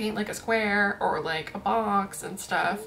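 A woman's voice over clear music in the background. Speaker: art vlogger. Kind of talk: casual vlog chat. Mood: playful, laughing. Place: home room.

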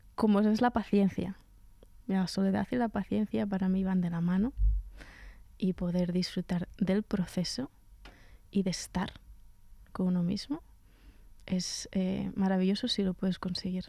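In a dry recording with no echo and a quiet background, a woman with a dark, mellow tone and a somewhat breathy voice speaks fairly slowly with fairly even intonation and long, frequent pauses. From central Spain, Sierra de Gredos (Ávila); Spain. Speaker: cellist and composer; guest. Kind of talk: radio interview. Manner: halting, with frequent repetitions. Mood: warm, amused. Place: studio. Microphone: studio mic.

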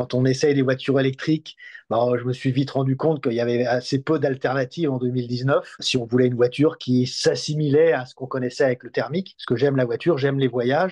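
The background is quiet. Intonation stays fairly even, with hardly any pauses. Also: man. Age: 60s. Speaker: electric car test website editor; guest. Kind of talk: interview. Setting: at the guest's home. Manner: halting, many hesitations and repetitions. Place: home room. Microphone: video call.

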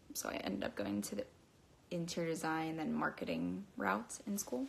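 Here a woman speaks with an American accent. Her pitch swings very widely, and vocal fry comes through. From Pennsylvania, US. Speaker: model and social media content creator. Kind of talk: casual livestream Q&A. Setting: social media livestream. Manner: chatty, rambling.

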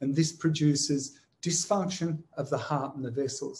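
A man speaks with an Australian accent at a fairly slow pace, his pitch fairly high. His voice is somewhat breathy, with a dark, mellow tone. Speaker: medical professor and company CEO. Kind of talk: conference presentation. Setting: recorded remotely while in quarantine.

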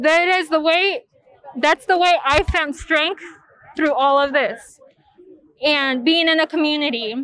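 Her high-pitched voice moves at a fairly slow pace with ordinary pitch variation, very even loudness and long, frequent pauses, the woman's sound dry with no echo. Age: 20s. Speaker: immigrant rights activist. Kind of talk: advocacy testimony. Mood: earnest, determined. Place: street. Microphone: lapel.

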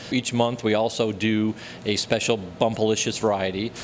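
A man with an unremarkable speaking voice talks at a moderate pace and a fairly low pitch with ordinary pitch variation, over light background noise. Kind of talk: interview answer. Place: shop. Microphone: handheld.

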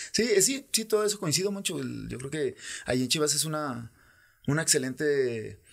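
Against a quiet background, a man speaks at a moderate pace with lively intonation. His fairly high voice breaks into long, frequent pauses. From Guadalajara, Mexico. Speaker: former professional footballer; podcast guest. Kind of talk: casual interview. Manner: halting, many repetitions. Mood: relaxed, reflective. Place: studio. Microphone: studio mic.

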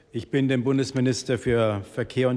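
A man speaks at a moderate pace, keeping his intonation fairly even. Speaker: government minister. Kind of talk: formal prepared statement. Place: hall. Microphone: podium.

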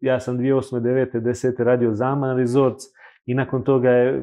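The background stays quiet while a man talks. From Montenegro, Kotor; Montenegro. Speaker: luxury hotel consultant; guest. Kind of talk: casual interview chat. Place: studio.

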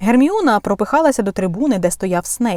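Plain reading aloud carried by lively intonation.

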